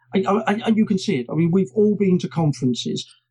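A dark, mellow tone with a British accent. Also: man. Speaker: journalist and presentation trainer. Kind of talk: casual interview chat.

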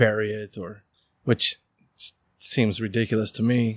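At a fairly slow pace, a man with an American accent talks at a medium pitch. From Utah (Riverton). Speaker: hemp farmer. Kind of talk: interview. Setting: indoor grow facility.

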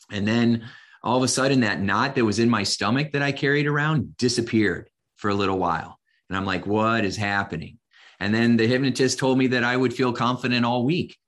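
Speaking at a fairly quick pace with a Midwestern American accent, a man uses a medium pitch with ordinary pitch variation. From US Midwest, Indiana. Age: 50s. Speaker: hypnotist and coach. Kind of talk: casual interview.

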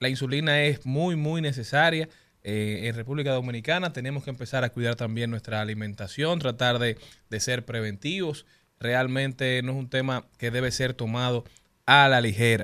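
A plain, everyday voice at a moderate pace. The pitch varies in an ordinary way. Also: man, medium pitch for a man. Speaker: radio host. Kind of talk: casual radio chat. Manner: jokey.

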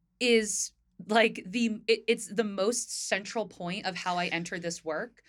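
With an unremarkable speaking voice, a woman speaks at medium pitch and a fairly slow pace. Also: fairly even intonation. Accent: American. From US Northeast, northern New Jersey. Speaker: podcast co-host, equity consultant. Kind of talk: casual chat.

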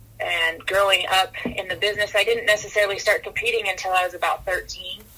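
A woman with an American accent talks at a moderate pace in an energetic tone over noticeable background noise. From Northern California. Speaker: rodeo coach and horse trainer. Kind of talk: interview.

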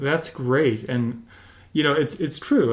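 A man has an unremarkable speaking voice at medium pitch. He keeps a moderate pace with ordinary pitch variation. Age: 50s. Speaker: podcast host. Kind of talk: interview.

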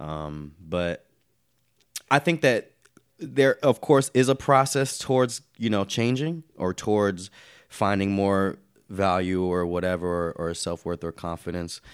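The recording is very clean, with a silent background. A man speaks fairly slowly with lively intonation. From US South, North Carolina. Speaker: poet and hip-hop artist. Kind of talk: casual chat.

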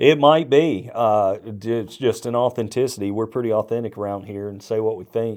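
In a very clean recording with a silent background, a man with a plain, everyday voice speaks at medium pitch with fairly even intonation, big swings in loudness and hardly any pauses. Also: moderate pace. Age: 50s. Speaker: senior pastor. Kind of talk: casual chat.

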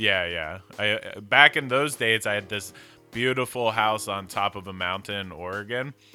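Music plays in the background as a man with an American accent speaks at a fairly slow pace, his pitch fairly low with ordinary variation. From South Jersey, Philadelphia area. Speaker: cannabis grower, podcast co-host.

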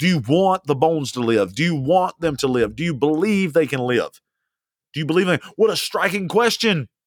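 In a very clean recording with a silent background and a dry, close sound with no echo, a man speaks at a fairly quick pace in an animated tone, his fairly high pitch swinging very widely. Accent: Southern US. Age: 40s. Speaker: pastor. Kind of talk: podcast sermon. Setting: alone in a room.

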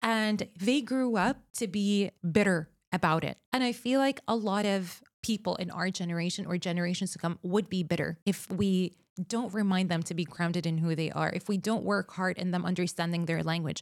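A woman's medium-pitched voice with an Arabic accent, at a moderate pace with ordinary pitch variation, in a very clean recording with a silent background. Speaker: communications expert. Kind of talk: interview conversation.

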